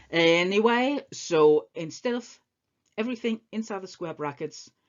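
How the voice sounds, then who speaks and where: A woman speaks with a non-native accent. Her pitch swings very widely. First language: not English. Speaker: maths teacher. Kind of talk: tutorial. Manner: casual, with frequent hesitations.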